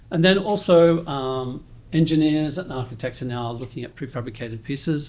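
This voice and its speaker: A New Zealand accent at a moderate pace, with ordinary pitch variation and audible room echo. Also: man. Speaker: industry presenter. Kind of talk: conference presentation. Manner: halting, many fillers.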